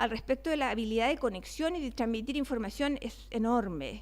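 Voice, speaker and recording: A woman speaks in a high voice on a very clean recording with a silent background. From Chile (Valparaíso). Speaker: neuroscience researcher, invited speaker. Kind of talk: lecture. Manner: fast.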